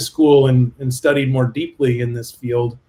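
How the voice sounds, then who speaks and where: A somewhat breathy man with a Canadian accent, medium pitch, flat monotone intonation and a moderate pace. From Canada. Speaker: business consultant. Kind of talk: video interview.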